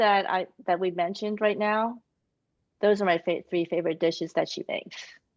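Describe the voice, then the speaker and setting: A woman speaks with a Taiwanese accent. The background is quiet. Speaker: children's author. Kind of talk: author Q&A.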